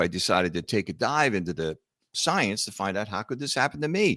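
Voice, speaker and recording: With a Philadelphia accent, a man speaks at a moderate pace in a fairly low pitch, his tone bright and sharp and the sound dry and close with no echo. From US Northeast, Philadelphia. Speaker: author and entrepreneur, heart attack survivor. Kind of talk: podcast interview. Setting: video call.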